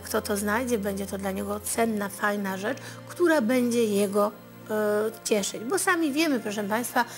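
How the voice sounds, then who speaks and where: Faint music plays behind a woman's voice. She talks at a moderate pace with ordinary pitch variation. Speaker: TV fortune-teller host. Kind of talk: advice talk to viewers. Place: studio.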